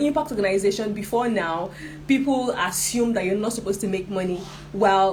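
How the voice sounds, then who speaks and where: A woman with a medium-pitched voice speaks at a moderate pace amid audible room echo. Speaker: social enterprise trainer. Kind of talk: online workshop lecture.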